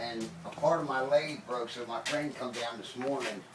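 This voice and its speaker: Noticeable background noise accompanies a man talking at a medium speed. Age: 60s. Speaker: woodworker. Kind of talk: casual interview in workshop. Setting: workshop.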